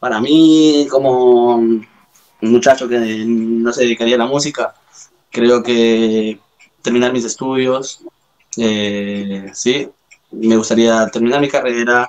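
The speaker is a man talking very slowly. His intonation remains fairly even. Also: medium pitch for a man. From Ecuador and Spain. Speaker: rapper. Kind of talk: casual chat.

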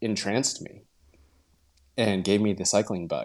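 A man with a western US accent speaks at a fairly low pitch with fairly even intonation. The recording is very clean, with a silent background. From Utah. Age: 30s. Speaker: professional cyclist. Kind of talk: casual interview.

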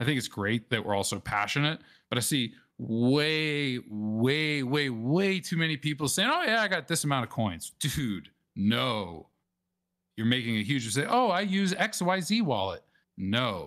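A man with an American accent speaks at a fairly slow pace in a medium pitch, using very wide pitch swings. The recording is very clean, with a silent background. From US South, New Orleans. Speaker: Bitcoin wallet presenter. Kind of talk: presentation. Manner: halting, many fillers.

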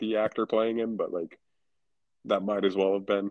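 A man speaks with a fairly low pitch. His intonation is monotone and flat. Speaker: podcast co-host. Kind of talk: casual chat.

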